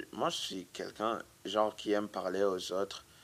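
A man with a fairly low pitch talks at a fairly slow pace in a monotone, flat intonation. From Burundi. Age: 20s. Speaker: immigrant witness. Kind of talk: testimony.

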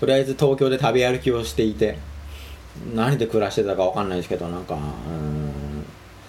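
A somewhat breathy man with a fairly low pitch, very fast pace and very wide pitch swings. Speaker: solo podcaster and web article writer. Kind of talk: casual solo monologue. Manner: halting, many fillers.

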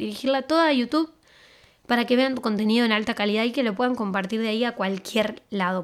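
A woman speaks in a Rioplatense accent. Her voice is high and her pace fairly quick. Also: very clean recording, silent background. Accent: Argentine Rioplatense Spanish. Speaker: podcast host. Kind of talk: casual monologue with social media tips.

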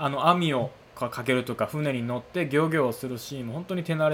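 Speech comes fairly quickly and is somewhat breathy. Its pitch varies in an ordinary way. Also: man. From Kansai, Japan. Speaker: cinema staff member and podcast host. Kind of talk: solo podcast talk. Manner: polite, formal.

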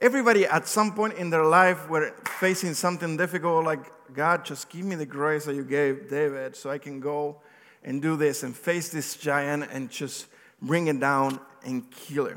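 With a non-native accent, a man talks at a moderate pace in a fairly high pitch with ordinary pitch variation. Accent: non-native accent, remarked on by himself. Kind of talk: sermon. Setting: church with congregation. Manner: conversational, occasionally halting.

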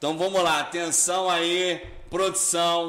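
A man's raised, projected voice over noticeable background noise. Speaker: podcast host and festival organizer. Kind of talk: casual live interview chat. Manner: animated, energetic.

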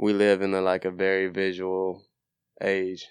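A man with an American accent, very deep and low in pitch, monotone and flat, against a quiet background. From Nashville, Tennessee (US South). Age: 20s. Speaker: photographer and law graduate. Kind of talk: casual chat.

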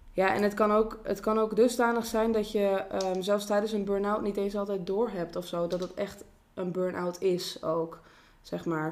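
A woman's plain, everyday voice at a medium pitch, with fairly even intonation and a moderate pace. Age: 20s. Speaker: social worker. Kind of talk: casual chat.

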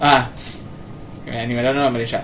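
A man with a Rioplatense accent talks with fairly even intonation over noticeable background noise. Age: 20s. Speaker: podcast host. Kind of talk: casual chat. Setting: live stream with Discord call.

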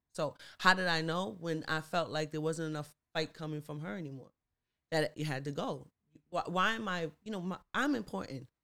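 Bright and sharp in tone, the voice moves at a moderate pace with ordinary pitch variation. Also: woman, very deep, low pitch for a woman. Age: 30s. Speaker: podcast co-host and YouTuber. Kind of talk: casual chat.

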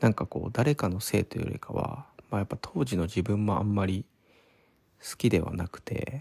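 The sound is dry and close, with no echo. A man talks at a fairly quick pace in a fairly low, somewhat breathy voice. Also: ordinary pitch variation. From Kanagawa, Odawara. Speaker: podcaster. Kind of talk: solo casual monologue. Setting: parents' home. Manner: relaxed, hesitant with fillers.

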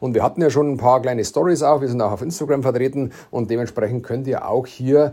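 Very fast speech from a man with a Bavarian accent, medium in pitch, with a dark, mellow tone. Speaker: entrepreneur, podcast co-host. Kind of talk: casual chat.

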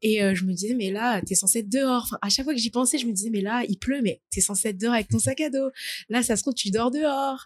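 Dry and close with no echo, a woman's voice runs at a very fast pace, her fairly high pitch varying in an ordinary way. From Paris region, France. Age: 20s. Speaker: student. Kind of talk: interview testimony. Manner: hesitant, many fillers.

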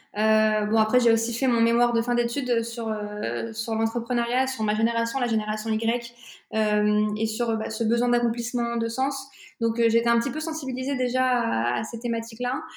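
The room echo is audible as a woman speaks at a moderate pace. Her fairly high voice stays monotone and flat. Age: 20s. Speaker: entrepreneur. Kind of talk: casual interview. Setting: remote recording.

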